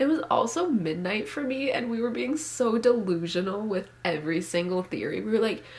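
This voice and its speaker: An animated woman's voice, fairly high-pitched, at a moderate pace with hardly any pauses, plus audible room echo and noticeable background noise. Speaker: booktuber. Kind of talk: casual vlog chat.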